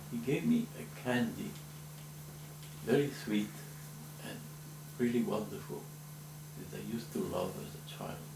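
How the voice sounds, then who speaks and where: A man talks at a moderate pace with long, frequent pauses and big swings in loudness. Audible room echo and noticeable background noise are present. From Spain. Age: 70s. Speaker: memoir narrator. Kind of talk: recorded autobiographical interview. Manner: reflective.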